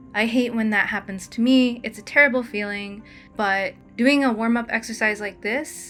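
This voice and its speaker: A woman's fairly high voice in a relaxed tone, with fairly even intonation and music playing in the background. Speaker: storyboard artist. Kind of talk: casual tutorial talk over drawing. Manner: casual, relaxed.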